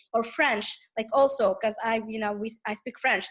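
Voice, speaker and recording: Speaking at a moderate pace, a woman talks in an Arabic accent. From Tunisia. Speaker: teaching assistant. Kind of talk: casual interview conversation. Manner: halting, many repetitions and fillers.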